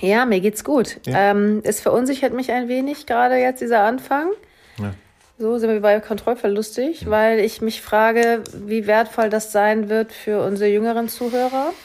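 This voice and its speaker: A woman with a plain, everyday voice talks at a moderate pace and a fairly high pitch. Her intonation stays fairly even. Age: middle-aged. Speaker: hypnosis coach. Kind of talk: casual chat.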